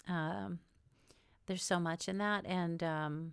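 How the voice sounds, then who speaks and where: At a fairly slow pace, a woman with an American accent talks with ordinary pitch variation. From New York and Israel. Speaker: podcast host and author. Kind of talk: podcast interview; scripted narration. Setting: remote call.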